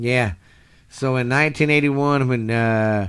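A man in a Texan accent with fairly even intonation. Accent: Texan Southern US. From Texas. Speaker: podcast co-host, wrestling fan. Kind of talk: casual chat. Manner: halting, many fillers.

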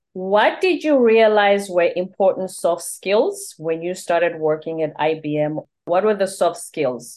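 The speaker has a Zulu accent and talks at a fairly slow pace with lively intonation. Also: woman, medium pitch for a woman. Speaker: podcast host. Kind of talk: interview.

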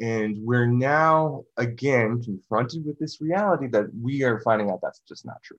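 Speaking in a normal speaking voice, a man talks at a medium pitch and a moderate pace with ordinary pitch variation. His loudness swings widely. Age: 30s. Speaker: musician and esoteric researcher. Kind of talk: casual interview conversation.

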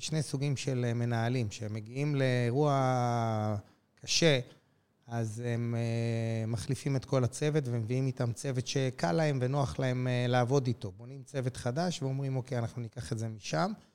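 In a normal speaking voice, this man keeps a moderate pace, a medium pitch and ordinary pitch variation. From Israel, Jerusalem. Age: 50s. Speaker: airline CEO. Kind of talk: interview.

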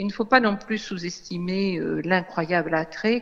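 The speech comes at a very slow pace with ordinary pitch variation, over noticeable background noise. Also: woman. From Réunion. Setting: phone call. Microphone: phone line.

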